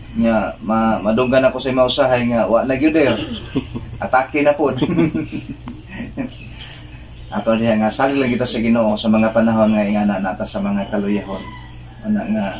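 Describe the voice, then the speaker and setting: A man talks at a moderate pace with fairly even intonation. Long, frequent pauses break his speech, and light background noise is present. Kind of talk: heartfelt speech to family, sermon-like. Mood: earnest, reflective, religious. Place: home room. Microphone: camera far.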